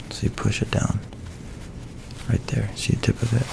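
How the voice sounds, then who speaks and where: Whispering at a moderate pace, a man is heard over noticeable background noise. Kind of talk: soft-spoken ASMR tutorial to camera. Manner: soft-spoken, casual, friendly.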